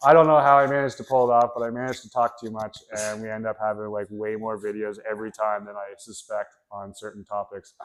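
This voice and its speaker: A man talks very fast with hardly any pauses, his fairly low voice keeping a fairly even intonation while its loudness swings a lot. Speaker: jiu-jitsu instructor. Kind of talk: tutorial. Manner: casual, rambling explanation.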